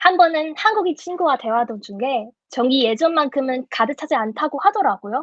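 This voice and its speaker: A woman with a Chinese accent speaks at a high pitch with very wide pitch swings and a moderate pace. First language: Chinese (speaking Korean). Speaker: speech contest contestant. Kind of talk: prepared speech; judge Q&A answers.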